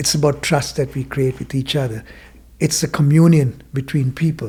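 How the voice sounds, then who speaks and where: The voice is somewhat breathy, with a dark, mellow tone. It moves at a moderate pace with fairly even intonation. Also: man, fairly high pitch for a man. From Sri Lanka (Kandy area). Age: 60s. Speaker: mindfulness teacher and former business owner. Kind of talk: podcast interview storytelling.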